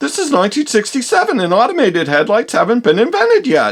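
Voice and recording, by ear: Using a cartoonish character voice, a man races at a very fast pace with an extremely high pitch and very wide pitch swings.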